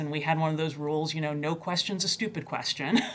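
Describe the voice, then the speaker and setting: A woman talks with a very deep, low pitch and fairly even intonation. Background noise is noticeable throughout. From US, Tennessee; born in UK, moved at 3. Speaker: university chief data officer. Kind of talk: interview.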